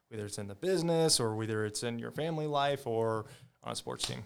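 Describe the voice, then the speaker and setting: Moving at a fairly quick pace, a man with a Midwestern US accent talks with ordinary pitch variation. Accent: US Midwest. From Iowa (Ames), early childhood in California. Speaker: former college football player. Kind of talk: casual interview chat. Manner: halting, many fillers.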